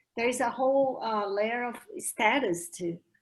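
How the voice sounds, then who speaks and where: Lively intonation carries a woman's fairly slow speech in a Brazilian accent. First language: Portuguese. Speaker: language educator. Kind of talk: academic discussion.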